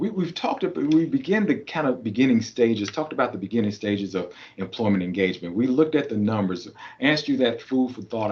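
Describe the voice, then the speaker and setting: A man with a Kentucky accent talks very fast at a medium pitch. His intonation is lively. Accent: Kentucky Southern US. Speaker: keynote speaker and trainer. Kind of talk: conference presentation. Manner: animated, rhetorical.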